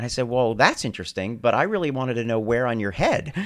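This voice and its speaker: A normal speaking voice with an American accent and lively intonation. The recording is very clean, with a silent background. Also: man. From US Northeast, New Jersey. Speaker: hair transplant surgeon. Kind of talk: interview.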